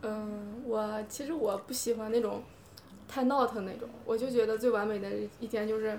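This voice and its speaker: Intonation stays flat and monotone. Music plays in the background, and room echo is audible. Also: woman. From Hebei. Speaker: podcast guest. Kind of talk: casual chat.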